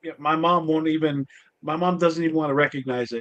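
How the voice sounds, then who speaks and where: This man has an unremarkable speaking voice, fairly high in pitch, moving at a fairly quick pace with fairly even intonation. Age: 50s. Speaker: podcast host. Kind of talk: casual interview chat.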